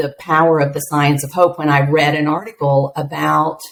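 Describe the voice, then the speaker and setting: A woman's very deep, low voice with an American accent, fairly even intonation and a moderate pace. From US Midwest, rural Appalachian southern Ohio. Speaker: education executive, former teacher. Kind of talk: podcast interview.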